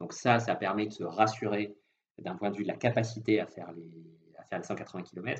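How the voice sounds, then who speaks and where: This man speaks at a fairly low pitch. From southwest France. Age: 30s. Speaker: industrial risk engineer and amateur triathlete. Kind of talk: interview. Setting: phone call.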